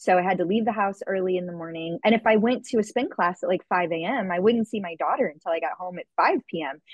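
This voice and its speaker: At a very fast pace with hardly any pauses, a woman talks at a medium pitch with ordinary pitch variation. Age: 40s. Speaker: fitness and nutrition coach, podcast host. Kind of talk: interview.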